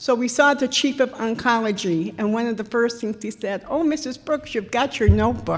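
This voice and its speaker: With a plain, everyday voice, a woman talks at a moderate pace and a fairly high pitch, her intonation lively. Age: 60s. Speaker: veteran's widow and volunteer counselor. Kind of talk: public talk at a town hall meeting. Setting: town hall meeting with audience.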